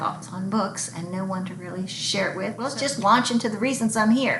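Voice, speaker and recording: A woman at medium pitch talks at a moderate pace with ordinary pitch variation, over noticeable background noise and audible room echo. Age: 60s. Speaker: book vlogger. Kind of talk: casual vlog monologue. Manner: halting.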